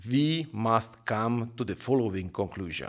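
A man with a Hungarian accent, fairly slow pace and lively intonation over a quiet background. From Hungary. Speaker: politician. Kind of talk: recorded video address. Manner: formal. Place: studio. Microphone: podium.

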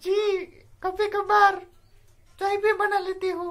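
In a put-on character voice, a man speaks at an extremely high pitch with monotone, flat intonation and a fairly slow pace. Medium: stage.

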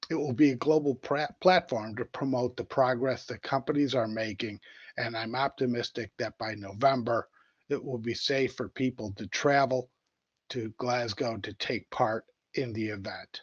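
A man's normal speaking voice, medium in pitch with ordinary pitch variation, moderate pace and an American accent. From United States. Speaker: economic development official. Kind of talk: business presentation. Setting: video call.

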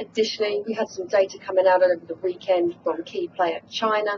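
A woman at a moderate pace, with ordinary pitch variation, amid noticeable background noise. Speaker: market news correspondent. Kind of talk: news report. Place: office.

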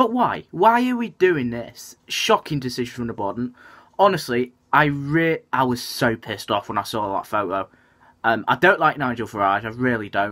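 Against a quiet background, a man with a bright, sharp tone talks at a moderate pace with lively intonation. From northern England. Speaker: football fan vlogger. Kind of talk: casual vlog commentary. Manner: fuming, indignant rant about politics in his club; halting, filler-heavy with frequent ums. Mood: annoyed, ranting. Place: home room. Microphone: webcam.

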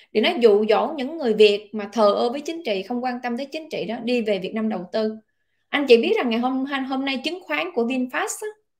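With a Southern Vietnamese accent, a woman speaks at a fairly quick pace. Her pitch is high and her intonation lively. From southern Vietnam, Long An. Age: 30s. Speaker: online political commentator. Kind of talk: casual monologue commentary. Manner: loud.

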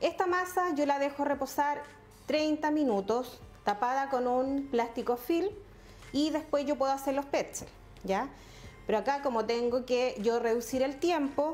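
With faint music in the background, a woman speaks at a high pitch and a fairly slow pace, her pitch variation ordinary and her loudness very even. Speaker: cooking instructor. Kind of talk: tutorial. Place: kitchen.

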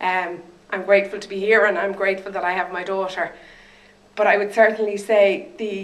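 A woman with an Irish accent talks at a moderate pace and medium pitch, her intonation fairly even, against noticeable background noise. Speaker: stroke survivor and advocate. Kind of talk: testimony. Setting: stage with audience.

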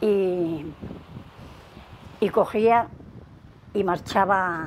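A woman talks with ordinary pitch variation while light background noise plays behind her. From León, Spain; Spain. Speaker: retired domestic worker; interviewee. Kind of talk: oral history interview answer. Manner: hesitant, repetitive. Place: home room. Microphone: lapel.

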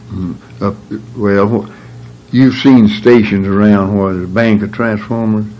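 With a North Carolina accent, a man speaks at a fairly slow pace with a fairly low pitch and fairly even intonation. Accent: Southern US, North Carolina. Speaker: retired electrician; interviewee. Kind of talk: oral history interview answer. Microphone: old recording.

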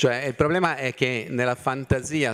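The background stays quiet while a man speaks, his pitch varying in an ordinary way. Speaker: city mobility planning official; panelist. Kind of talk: conference talk. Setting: stage with audience. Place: hall. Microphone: podium.

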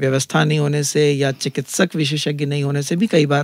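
A man's fairly high voice, fairly even in intonation, at a moderate pace, dry with no echo, over a quiet background. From India, Chhattisgarh (Raipur); Chhattisgarh. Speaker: ENT surgeon; guest. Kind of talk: interview. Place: studio. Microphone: studio mic.

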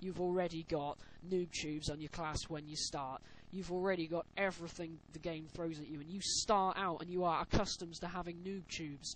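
With a British accent, a man talks at a fairly quick pace in a high, monotone, flat voice. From UK. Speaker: gaming commentator. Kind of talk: gameplay voiceover commentary. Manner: casual.

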